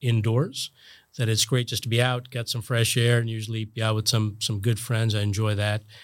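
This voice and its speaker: A normal speaking voice with an American accent moves at a fairly quick pace on a very clean recording with a silent background. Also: man. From New Jersey. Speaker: hospital executive and physician. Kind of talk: interview.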